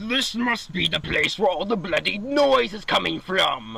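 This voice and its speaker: A man uses a put-on character voice, raised and projected, at a high pitch. He keeps a moderate pace. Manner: crappy, gruff.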